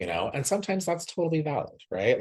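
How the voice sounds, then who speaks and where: Vocal fry marks this man's voice. His pitch moves across a very wide range. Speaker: podcast co-host. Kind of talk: casual chat. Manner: soft-spoken. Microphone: far from the mic.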